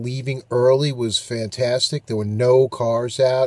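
Talking at a very slow pace, a man is heard in a dry recording with no echo. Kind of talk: casual vlog chat. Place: car. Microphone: phone near.

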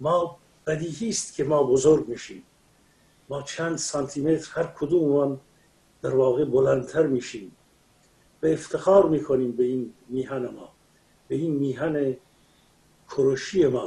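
A man's dark, mellow, somewhat breathy voice at a fairly slow pace, with ordinary pitch variation and long, frequent pauses. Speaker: remote guest commentator. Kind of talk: interview answer. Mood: proud, impassioned. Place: home room. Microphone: video call.

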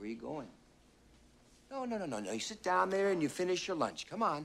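A man's put-on character voice, fairly high and fairly bright, with big pitch swings, vocal fry and a fairly quick pace

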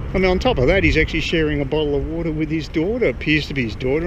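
A man speaks against noticeable background noise. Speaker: vlogger. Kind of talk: casual vlog chat. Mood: concerned, opinionated. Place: street. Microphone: phone near.

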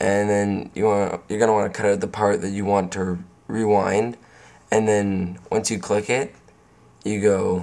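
At a fairly slow pace, a man talks in a fairly low pitch with a monotone, flat intonation. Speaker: video editing tutorial maker. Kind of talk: casual screen-recording tutorial.

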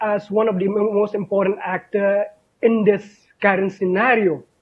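At a moderate pace, a man with a high pitch speaks against a quiet background. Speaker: academic in European studies; panelist. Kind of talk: panel discussion. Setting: video call. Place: home room. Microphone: video call.

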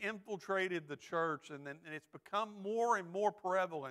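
Against a quiet background, a man with a Texan accent and a high pitch talks at a moderate pace with ordinary pitch variation. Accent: Texan, Southern. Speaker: associate pastor. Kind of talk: sermon. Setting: church. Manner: earnest, exhortative preaching, with filler words and repeats; pleading, direct, with calls for amens. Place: church. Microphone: lapel.

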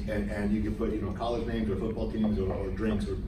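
The recording of a man carries audible room echo and noticeable background noise. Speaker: guest. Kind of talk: lecture. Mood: storytelling, reflective. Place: classroom. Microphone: camera far.

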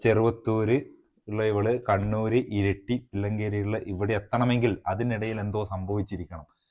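The man's fairly low voice stays monotone, with flat intonation. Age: 30s. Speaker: YouTube vlogger. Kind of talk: casual chat. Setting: outdoors.

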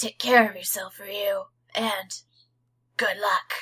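A female-sounding voice puts on a raspy character voice. It is fairly high in pitch and fairly slow. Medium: game stream. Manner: earnest, measured.

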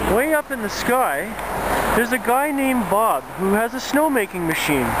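A man at a moderate pace, dry with no echo, over loud background noise. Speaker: comedic street host. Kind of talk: mock-educational comedy monologue. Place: street. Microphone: phone near.

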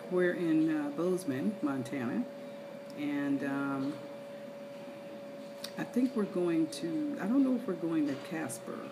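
A woman talks fairly slowly while noticeable background noise continues behind her. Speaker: travel vlogger. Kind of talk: casual vlog chat. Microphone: phone near.

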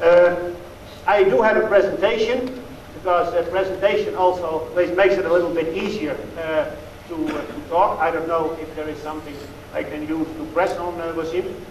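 A man with a high voice talks at a moderate pace with ordinary pitch variation. Light background noise and audible room echo are present. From Netherlands. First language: Dutch. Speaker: dairy expert. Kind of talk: lecture. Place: hall. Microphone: lapel.

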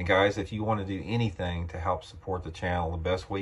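A man's somewhat breathy, very deep voice, low-pitched, at a fairly quick pace with monotone, flat intonation. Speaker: fishing channel host. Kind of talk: casual vlog chat. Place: home room. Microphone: phone near.

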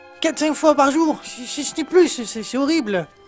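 Over clear music in the background, a put-on character voice sounds whiny, with a whiny tone throughout. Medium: short film. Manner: whiny, pleading, repetitive.

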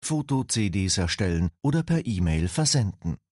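A man speaks at a moderate pace with a fairly low pitch and very wide pitch swings. His tone is upbeat, dark and mellow, and somewhat breathy. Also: quiet background. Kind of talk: infomercial, polished product-promo voiceover. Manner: smooth, upbeat and persuasive, brisk and clearly enunciated; formal, addressing the viewer politely as Sie.

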